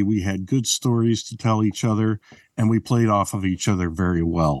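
Moderate pace, fairly even intonation, and a dry, close sound with no echo. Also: man, quiet background. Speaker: podcaster and voiceover artist. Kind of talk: casual chat.

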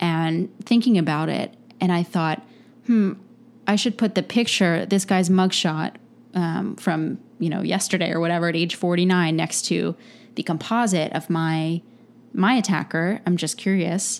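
A woman with an American accent speaks in a normal speaking voice, fairly low in pitch. Her pace is moderate, with ordinary pitch variation. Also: very clean recording, silent background. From Pennsylvania, Lancaster. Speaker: artist, former DJ. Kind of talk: interview.

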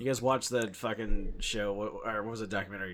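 The speaker talks at a fairly quick pace in an animated tone. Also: man. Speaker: podcast host. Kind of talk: casual banter, profane. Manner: animated, crude.

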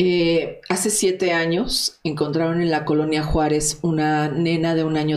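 A woman speaks at a fairly slow pace with fairly low pitch and fairly even intonation. There is audible room echo. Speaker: investigative journalist. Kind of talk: interview.

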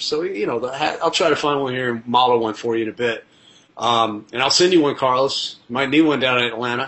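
Noticeable background noise runs behind this recording. A man speaks at a very fast pace. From Tennessee. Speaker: travel TV host and producer. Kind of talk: casual interview chat.

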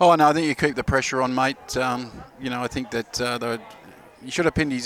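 Noticeable background noise is present. A man speaks at a medium pitch and a fairly quick pace. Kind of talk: co-commentary with expert match analysis. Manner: relaxed, conversational, hesitant with repeated words.

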